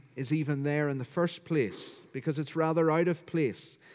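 On a very clean recording with a silent background, a man with a Northern Irish accent speaks fairly slowly in a fairly high pitch with fairly even intonation. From Northern Ireland, County Down. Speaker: pastor. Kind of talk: sermon. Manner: formal.

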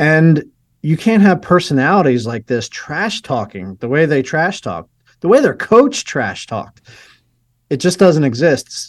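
Very wide pitch swings at a fairly slow pace over a quiet background. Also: man, fairly high pitch for a man. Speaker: film producer. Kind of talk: radio interview.

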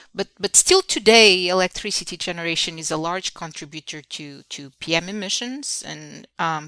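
A woman with a Portuguese accent and a bright, sharp tone, at a moderate pace with ordinary pitch variation and big swings in loudness, in a dry, close sound with no echo on a very clean recording with a silent background. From Portugal. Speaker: engineering professor. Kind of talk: interview. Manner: halting, many fillers and repetitions.

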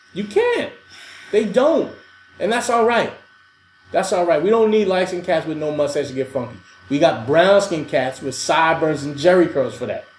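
Over noticeable background noise and audible room echo, a man with a New York accent speaks in a high pitch and an animated tone, with lively intonation at a moderate pace. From US, New York City (Queens). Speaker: podcast co-host. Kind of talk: casual chat.

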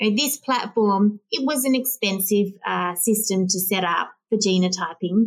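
With an Australian accent, a woman speaks fairly slowly at a medium pitch with ordinary pitch variation. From Western Australia. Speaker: plant breeding company CEO. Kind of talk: interview.

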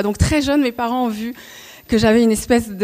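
The speaker is a woman. Ordinary pitch variation runs through her voice. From Paris region (Montreuil). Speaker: former cabaret dancer and choreographer. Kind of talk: talk to an audience. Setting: stage with audience. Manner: halting, many hesitations.

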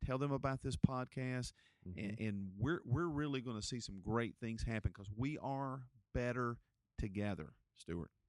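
A man with a North Carolina accent speaks at medium pitch in an animated tone and at a moderate pace. The recording is very clean, with a silent background. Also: ordinary pitch variation. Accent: Southern US (North Carolina). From Gaston County, North Carolina. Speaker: pastor and podcast host. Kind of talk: interview conversation.

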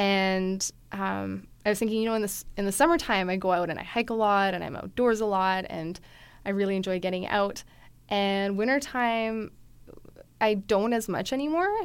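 A woman with a Canadian accent and a plain, everyday voice, medium pitch, ordinary pitch variation and a moderate pace, on a very clean recording with a silent background. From Calgary, Alberta, Canada. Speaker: writer. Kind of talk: casual interview chat.

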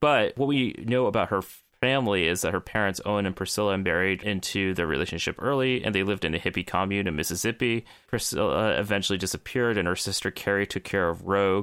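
A man talks at a very fast pace and a fairly low pitch, with ordinary pitch variation. His loudness stays very even in a very clean recording with a silent background. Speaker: podcast co-host. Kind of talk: casual chat.

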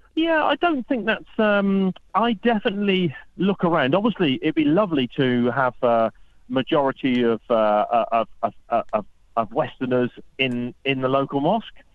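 Pitch swings very widely at a moderate pace, with a British accent. Loudness stays very even throughout. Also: man, fairly high pitch for a man. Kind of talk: radio interview. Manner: humorous, laughs often.

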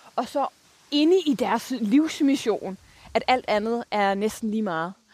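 A woman speaks with a fairly high pitch. Her pace is fairly slow, with ordinary pitch variation. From Denmark, Copenhagen area. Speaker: sustainability leader. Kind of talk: interview. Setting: outdoors.

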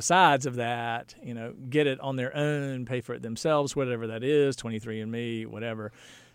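A man with an American accent in a plain, everyday voice, medium in pitch, fairly even in intonation and fairly quick, on a very clean recording with a silent background. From North Carolina. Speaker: physician. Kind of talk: interview.

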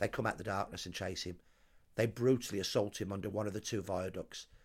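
Speaking with a Brummie accent, a man goes at a very fast pace with fairly even intonation and a fairly low pitch. The recording is very clean, with a silent background. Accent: Birmingham (Brummie). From Birmingham, England. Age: 60s. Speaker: social historian. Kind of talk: interview. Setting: at the host's home.

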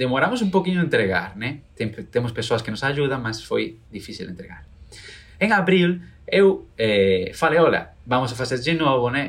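A man speaks at a moderate pace in a Spanish accent, his somewhat breathy voice swinging very widely in pitch. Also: medium pitch for a man. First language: Spanish (speaking Portuguese). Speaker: entrepreneur, doll seller, violinist. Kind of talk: interview testimony.

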